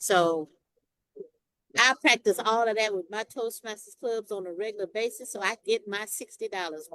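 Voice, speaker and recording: A woman with a Southern accent speaks at a moderate pace in a fairly high pitch with a bright, sharp tone and ordinary pitch variation. Her loudness swings widely, and the sound is dry and close with no echo. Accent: Southern, drops final g's. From Texas. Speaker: Toastmasters member. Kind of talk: casual discussion.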